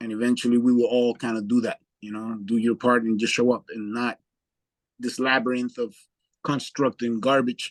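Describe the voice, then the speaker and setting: At a moderate pace, a man speaks in a medium pitch with monotone, flat intonation, the sound dry and close with no echo against a quiet background. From Dominican Republic. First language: Spanish. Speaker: community project participant. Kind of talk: casual chat. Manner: halting, repeats words.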